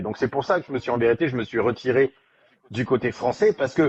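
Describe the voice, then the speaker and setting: A man at medium pitch with ordinary pitch variation, talking at a very fast pace. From France. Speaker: strength coach. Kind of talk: podcast interview. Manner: halting, many restarts.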